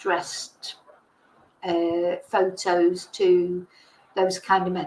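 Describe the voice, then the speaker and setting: A woman with an English accent and lively intonation. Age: 60s. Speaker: online commentator. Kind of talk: casual livestream chat. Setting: livestream.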